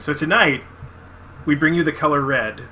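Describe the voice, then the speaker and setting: Noticeable background noise behind speech at a fairly quick pace. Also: man. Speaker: podcast co-host. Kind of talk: casual chat. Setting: live video podcast. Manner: sudden loud spikes in volume.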